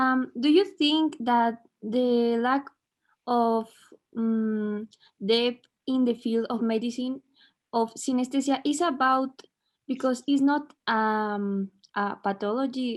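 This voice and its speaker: Speaking very slowly with long, frequent pauses, a woman with a Spanish accent uses a high pitch against a quiet background. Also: ordinary pitch variation. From Mexico. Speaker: audience member. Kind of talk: question from audience. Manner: halting.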